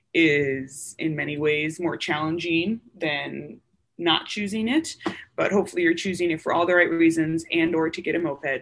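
An ordinary speaking voice with an American accent, at a fairly slow pace with ordinary pitch variation. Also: woman. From US Upper Midwest (Wisconsin). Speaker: military surgeon. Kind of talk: interview.

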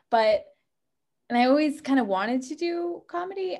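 A woman talks at a high pitch and a fairly quick pace with lively intonation. Music plays in the background. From New Hampshire, US. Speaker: stand-up comedian. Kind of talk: casual interview. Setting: video call.

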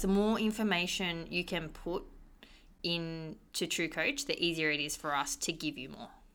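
On a very clean recording with a silent background, a woman with an unremarkable speaking voice talks at a moderate pace, fairly low in pitch, with lively intonation and big swings in loudness. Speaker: gym coach and co-host.

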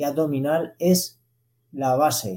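A man speaks with ordinary pitch variation in a dark, mellow tone. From Zaragoza, Aragon, Spain. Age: 30s. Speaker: elite distance runner. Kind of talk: interview.

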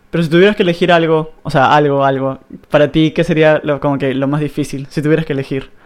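A man talks at a very fast pace with a fairly high pitch. His intonation stays fairly even. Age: 20s. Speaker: podcast host. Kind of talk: casual interview chat.

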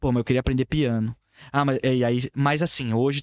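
A normal speaking voice from a man at medium pitch, with fairly even intonation and a moderate pace, in a very clean, dry and close recording with a silent background and no echo. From São Paulo, Brazil. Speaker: videomaker. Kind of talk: casual chat. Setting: studio.

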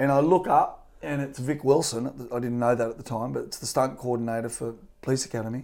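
With a strong Australian accent, a man talks at a fairly quick pace with hardly any pauses. His medium pitch shows ordinary variation, and his loudness swings widely. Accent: broad Australian. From rural New South Wales, Australia. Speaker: stunt performer and driving coach. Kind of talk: casual interview. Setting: office.

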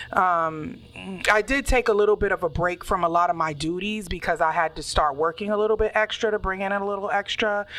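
Using an unremarkable speaking voice, a woman talks at a fairly quick pace and medium pitch with ordinary pitch variation. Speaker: podcast co-host. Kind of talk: casual chat.

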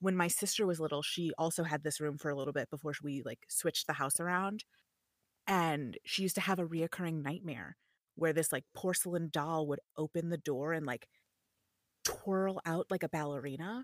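A woman's unremarkable speaking voice, fairly low in pitch, at a moderate pace, with ordinary pitch variation and a dry, close sound with no echo. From US Midwest, Chicago. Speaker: voiceover artist and streamer. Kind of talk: casual chat. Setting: home studio, remote call.

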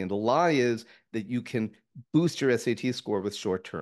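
This man talks at a fairly quick pace in a medium pitch. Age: 60s. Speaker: author, comedian, presidential candidate. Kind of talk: interview, explanatory talk. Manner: animated, talkative.

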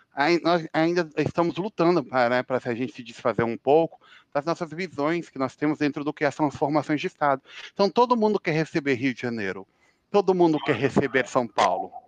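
A man's ordinary speaking voice, fairly high in pitch, with lively intonation at a fairly quick pace and a dry, close sound with no echo. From Brazil, Brasília. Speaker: international relations analyst and author. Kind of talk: casual interview.

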